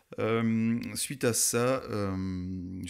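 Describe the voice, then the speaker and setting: On a very clean recording with a silent background, a man with a fairly low pitch talks with fairly even intonation. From France, Alsace (Munster valley). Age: 30s. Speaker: mountain photographer. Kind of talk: podcast interview. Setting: in person recording in Alsace. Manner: hesitant, many fillers.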